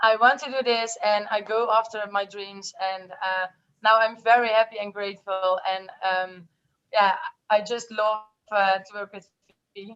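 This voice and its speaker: Speaking with a Dutch accent, the voice has fairly even intonation and long, frequent pauses. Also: woman, fairly high pitch for a woman, moderate pace, big swings in loudness. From Netherlands. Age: 20s. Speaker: network marketer. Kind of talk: testimony. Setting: video call.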